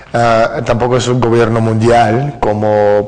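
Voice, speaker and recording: A man with a Russian accent speaks in a monotone, flat intonation, with audible room echo and noticeable background noise. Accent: Russian accent in fluent Spanish. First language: Russian (speaking Spanish). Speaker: author. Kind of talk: interview. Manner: hesitant fillers (eh, ah).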